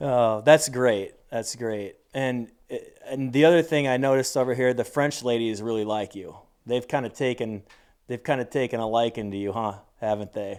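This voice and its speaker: A plain, everyday voice talks at a moderate pace, its pitch varying in an ordinary way. Nothing can be heard behind it on this very clean recording, with a silent background. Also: man, medium pitch for a man. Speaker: podcast host. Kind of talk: interview questions.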